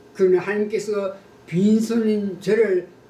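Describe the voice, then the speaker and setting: Extremely unhurried delivery amid clearly audible background noise. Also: man. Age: 80s+. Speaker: pastor. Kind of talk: testimony. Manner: formal.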